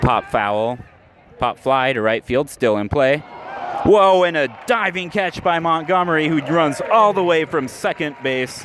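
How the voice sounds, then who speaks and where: Very wide pitch swings run through this voice as crowd noise fills the background. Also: man. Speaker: radio play-by-play announcer. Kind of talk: live baseball radio play-by-play. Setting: ballpark, live game broadcast.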